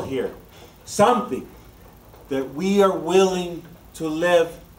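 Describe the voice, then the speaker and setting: A man speaks at a fairly slow pace amid audible room echo. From Honduras. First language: Spanish. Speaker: political candidate. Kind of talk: political speech. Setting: dinner event with audience.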